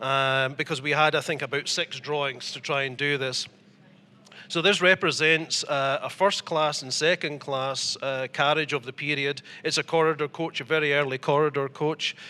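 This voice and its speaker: The voice has an Edinburgh accent and a bright, sharp tone with monotone, flat intonation. It sits on a very clean recording with a silent background. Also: man, fairly high pitch for a man, moderate pace. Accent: Scottish (Edinburgh). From Scotland, Edinburgh. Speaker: model maker and importer. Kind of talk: interview. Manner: hesitant, many fillers.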